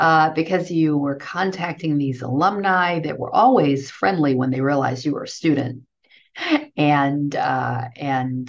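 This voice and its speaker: A woman's very deep, low voice with an American accent, lively intonation and a fairly slow pace. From US Northeast, Brooklyn, New York. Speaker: university fundraising executive. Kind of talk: interview.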